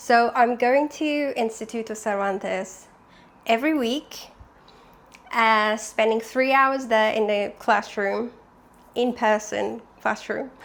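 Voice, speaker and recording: A woman's fairly high voice with a non-native accent, very slow and fairly even in intonation, broken by long, frequent pauses. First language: not English. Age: 20s. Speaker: vlogger. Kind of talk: casual vlog. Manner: chatty.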